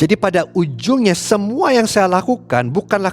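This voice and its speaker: Talking in an English accent, a man uses a high pitch with lively intonation. His pace is fairly quick. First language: English (speaking Indonesian). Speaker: pastor. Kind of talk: sermon. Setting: recorded online church service.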